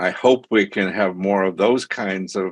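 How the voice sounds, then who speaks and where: A man speaks at a moderate pace in an American accent. His pitch is very deep and low. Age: 70s. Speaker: meeting participant. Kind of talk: audience question at online meeting.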